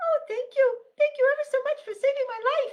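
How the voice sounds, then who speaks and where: Squeaky and extremely high, this put-on character voice moves at a medium tempo. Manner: grateful.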